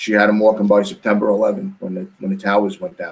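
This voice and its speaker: In a New York accent, a man talks at a fairly quick pace with fairly low pitch. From New York City, Queens. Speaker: powerlifting coach and brother of athlete. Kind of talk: podcast interview.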